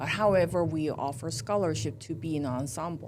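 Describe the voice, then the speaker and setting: A woman with a Korean accent, a fairly low pitch, very wide pitch swings and a fairly slow pace. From South Korea. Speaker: university music professor. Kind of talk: interview. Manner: halting, many fillers.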